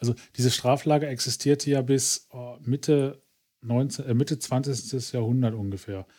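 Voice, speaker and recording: Here a man talks at a fairly slow pace in a dark, mellow tone. The recording is very clean, with a silent background. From Ruhr area, Germany. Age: middle-aged. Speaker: podcast co-host. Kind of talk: casual chat.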